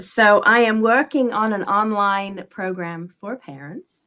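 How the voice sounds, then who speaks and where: A woman talks with a bright, sharp tone and a slight English accent. Her pitch sits in the middle range, and her intonation is lively. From England. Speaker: parent and teen coach. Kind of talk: interview.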